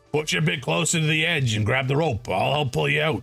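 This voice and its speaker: A raspy, put-on character voice from a man, medium in pitch, at a very fast pace, with faint music in the background. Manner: gruff, helpful.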